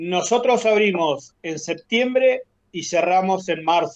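High-pitched male speech, with pitch moving in an ordinary way. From Argentina, Patagonia (Caleta Olivia). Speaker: retired oil worker, cabin owner. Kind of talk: interview.

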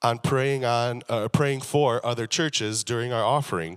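A normal speaking voice comes through on a very clean recording with a silent background. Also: man. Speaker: preacher. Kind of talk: sermon. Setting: church with congregation. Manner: humorous, casual.

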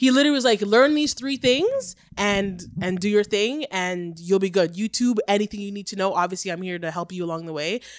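With hardly any pauses and a fairly quick pace, a woman with an ordinary speaking voice speaks at a medium pitch, her lively intonation paired with big swings in loudness, on a very clean recording with a silent background. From Oshawa, Ontario, Canada. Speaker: photographer and podcaster. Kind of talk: casual chat.

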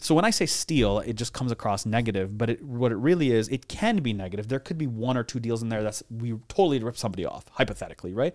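At a very fast pace with hardly any pauses, a man speaks in a medium pitch with ordinary pitch variation, on a very clean recording with a silent background. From Dubai, UAE (born in Belgium). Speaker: real estate investor and roofing business owner. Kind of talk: casual interview conversation. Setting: studio podcast recording. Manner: casual and profane, lots of fillers.

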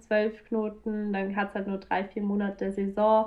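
Here a woman speaks at a very slow pace in a fairly high pitch. The background is quiet. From Bavaria, south of Munich. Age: 20s. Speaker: professional kitesurfer. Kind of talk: casual interview. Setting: video call.

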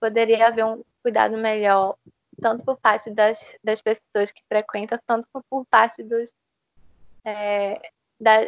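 A woman speaks at a fairly high pitch and a fairly slow pace. Her intonation stays monotone and flat. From Brazil, Recife (Pernambuco). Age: 20s. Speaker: law student. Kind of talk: interview. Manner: halting, many fillers.

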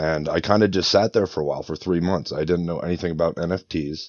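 With an American accent, a man speaks in a very deep, low pitch and fairly even intonation. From Northeast Pennsylvania, US. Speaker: head of operations for NFT project. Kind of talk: interview.

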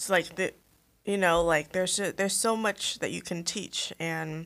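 A plain, everyday voice from a woman at a moderate pace, on a very clean recording with a silent background. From Vietnam, moved to US as a child in 2000. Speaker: podcast co-host. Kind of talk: casual chat.

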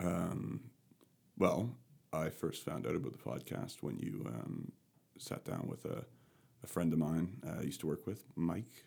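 Very wide pitch swings over a dark, mellow tone with vocal fry, at a fairly slow pace. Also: man, very deep, low pitch for a man. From Canada, rural Nova Scotia. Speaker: podcast guest sharing experience with anxiety. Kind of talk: casual conversational interview. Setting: in-person recording in the same room.

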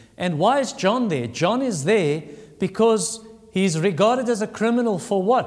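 Pitched high for a man, his voice moves with lively intonation at a moderate pace while audible room echo surrounds it. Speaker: pastor. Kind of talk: sermon.

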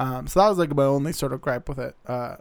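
A man speaks in an American accent at a fairly quick pace. His pitch is fairly high. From Arizona. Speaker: film podcast co-host. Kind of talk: casual chat. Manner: hesitant, many fillers.

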